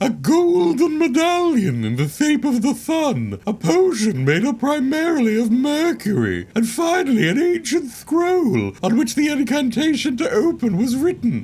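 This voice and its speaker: A man's put-on character voice at an extremely high pitch, with very wide pitch swings, a moderate pace and light background noise. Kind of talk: read-aloud journal entry. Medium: video game. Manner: solemn, archaic phrasing.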